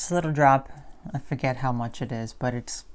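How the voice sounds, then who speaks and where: The intonation stays fairly even. The pace is moderate. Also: woman. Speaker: vegan health vlogger. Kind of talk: casual video monologue answering viewer comments. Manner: chatty, repeats words and self-corrects. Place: home room. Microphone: phone near.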